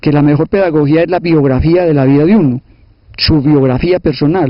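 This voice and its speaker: This man's fairly high voice shows ordinary pitch variation at a fairly quick pace. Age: 60s. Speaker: sociologist and teacher, former guerrilla. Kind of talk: interview. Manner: hesitant, repeats words.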